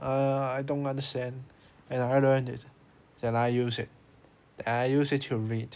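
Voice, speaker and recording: A man with a Chinese accent, medium pitch, monotone, flat intonation, a moderate pace, and long, frequent pauses. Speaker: language learning youtuber. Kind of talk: tutorial. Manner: halting.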